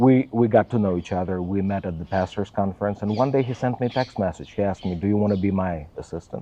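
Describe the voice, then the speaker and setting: A man with a fairly low pitch, very fast with hardly any pauses, with ordinary pitch variation. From Russia, Volgograd. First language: Russian. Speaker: pastor's assistant. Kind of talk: interview. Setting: in Israel.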